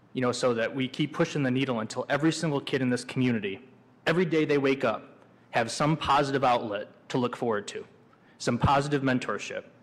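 Very fast and with an American accent, a man talks at medium pitch with ordinary pitch variation. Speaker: city commissioner. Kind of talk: public meeting discussion.

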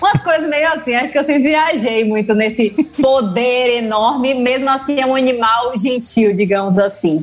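Over noticeable background noise, a woman speaks in a high pitch with lively intonation. Her loudness stays very even at a moderate pace. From Salvador, Bahia, Brazil. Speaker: animal scientist and doctoral student. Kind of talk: casual interview.

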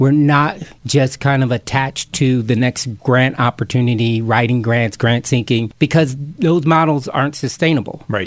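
Hardly pausing, a man talks at a moderate pace in a normal speaking voice at medium pitch. His loudness stays very even, and his pitch varies in an ordinary way. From Camden, New Jersey. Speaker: chef and urban farm founder. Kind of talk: interview.

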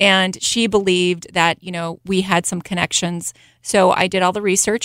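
This woman has a plain, everyday voice, at medium pitch and a moderate pace with fairly even intonation. The recording is very clean with a silent background, and the sound is dry and close with no echo. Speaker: city council candidate. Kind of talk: radio interview.

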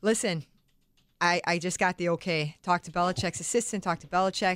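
In an unremarkable speaking voice, a woman with a fairly low pitch talks at a moderate pace, the sound dry and close with no echo. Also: very clean recording, silent background. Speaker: daughter of coach, stay-at-home mom. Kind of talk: radio interview chat. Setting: radio studio.

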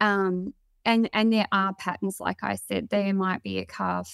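A woman speaks at a fairly slow pace in a dry, close sound with no echo. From Victoria, Australia. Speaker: dairy farmer. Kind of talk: webinar interview. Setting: video call webinar.

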